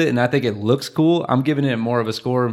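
A man with an unremarkable speaking voice talks at a moderate pace and medium pitch. His pitch varies in an ordinary way, and the recording is very clean with a silent background. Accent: American. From Michigan. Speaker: podcast host, stay-at-home dad. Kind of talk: casual chat.

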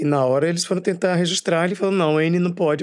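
Using fairly even intonation, a man speaks at a high pitch. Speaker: actor and writer. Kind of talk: interview.

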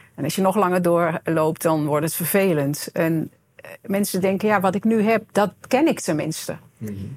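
Ordinary pitch variation and a moderate pace in an unremarkable speaking voice. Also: woman, fairly low pitch for a woman. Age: 50s. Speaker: coach and self-employed entrepreneur. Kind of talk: podcast interview.

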